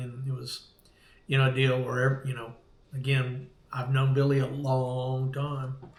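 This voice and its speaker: Amid audible room echo, a man with an American accent talks at a medium pitch in a monotone, flat intonation. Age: 60s. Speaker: veteran surf fisherman. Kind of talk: casual chat. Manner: halting.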